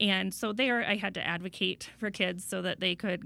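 A woman with a bright, sharp tone and vocal fry talks at a moderate pace. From Iowa. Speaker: school board president. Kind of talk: interview. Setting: studio.

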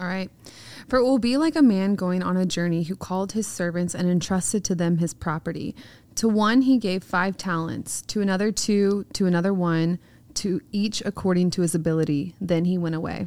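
In an ordinary speaking voice, a woman talks at a fairly quick pace with a medium pitch and ordinary pitch variation. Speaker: podcast co-host. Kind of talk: reading aloud scripture.

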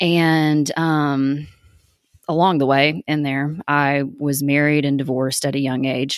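With a Tennessee accent, a woman speaks at a fairly slow pace in a very deep, low pitch and a monotone, flat intonation. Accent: Southern US (Tennessee). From East Tennessee, US South. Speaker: podcast host. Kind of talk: casual monologue. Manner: casual, filler-heavy (um, like).

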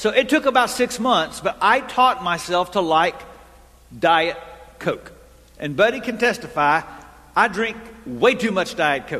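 A man with a Texan accent speaks at a fairly slow pace, leaving long, frequent pauses. His voice is high-pitched, raised and projected, with lively intonation. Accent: Texan American English. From Texas. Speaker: pastor. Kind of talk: sermon. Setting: church.

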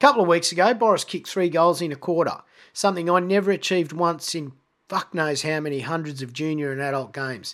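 A man talks at a very fast pace in a high voice. His pitch varies in an ordinary way. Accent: Australian. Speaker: podcast host. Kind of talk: scripted monologue. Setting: home recording.

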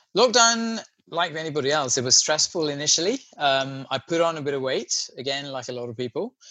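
A moderate pace over music in the background. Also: man. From Sri Lanka, moved to Wales at 13. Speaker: podcast guest, low-carb advocate. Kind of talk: casual interview chat.

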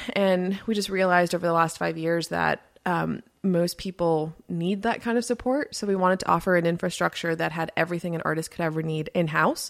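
A woman speaks at a fairly quick pace in a fairly low pitch, her tone animated. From Miami, Florida, Colombian family. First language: Spanish. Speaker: music business consultant and podcast host. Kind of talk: interview. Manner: animated, many fillers and laughs.

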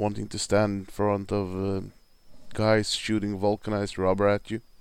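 A man with a Swedish accent on a very clean recording with a silent background. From Sweden. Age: 40s. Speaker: hockey podcaster. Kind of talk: casual monologue.

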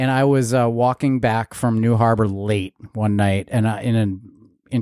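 A man's medium-pitched voice with a dark, mellow tone, fairly slow pace, fairly even intonation, very even loudness and hardly any pauses, in a very clean recording with a silent background and a dry, close sound with no echo. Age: 40s. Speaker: podcast co-host. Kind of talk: casual chat.

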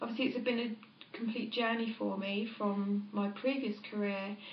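A woman speaks in a monotone with flat intonation. The recording has audible room echo and noticeable background noise. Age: 30s. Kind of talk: interview.

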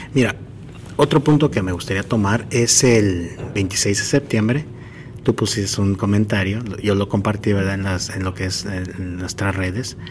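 At a fairly slow pace, a man speaks in a fairly low pitch with a plain, everyday voice. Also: ordinary pitch variation. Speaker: running podcast host. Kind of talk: interview. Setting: athletes' hotel, doors and people passing.

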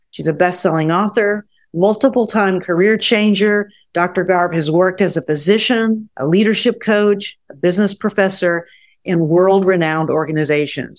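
A woman with a normal speaking voice talks at a medium pitch and moderate pace in a very clean recording with a silent background. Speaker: podcast host and coach. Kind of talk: casual interview. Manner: warm, encouraging.

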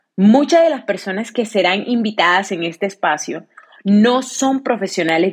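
This is a woman speaking. Her pace is moderate. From Colombia, Cartagena (Caribbean coast). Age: 30s. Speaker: podcast host. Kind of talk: personal monologue.

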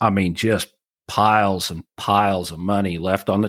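Recorded very cleanly against a silent background, a man with a fairly low pitch uses an ordinary speaking voice with ordinary pitch variation. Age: 40s. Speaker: cattle rancher and marketing teacher. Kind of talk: interview.

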